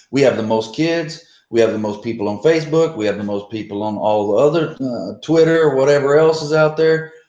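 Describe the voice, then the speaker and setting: With a Texan accent, a man speaks in a dark, mellow tone with lively intonation. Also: medium pitch for a man. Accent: Texan American English. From US South, deep south Texas. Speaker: American football coach. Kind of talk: casual chat.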